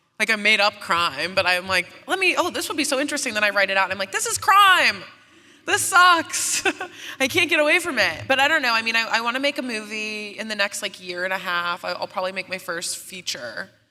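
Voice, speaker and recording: Through noticeable background noise, a woman speaks at a fairly quick pace with a fairly high pitch and very wide pitch swings. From West Virginia. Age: 30s. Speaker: podcast host and filmmaker. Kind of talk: live conversation on stage. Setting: stage with live audience. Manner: casual, animated.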